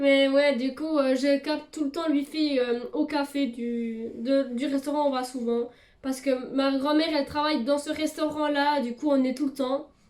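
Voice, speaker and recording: Her high-pitched voice stays in a monotone, flat intonation as the woman speaks. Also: moderate pace. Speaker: YouTuber. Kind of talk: casual vlog. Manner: hesitant, many fillers.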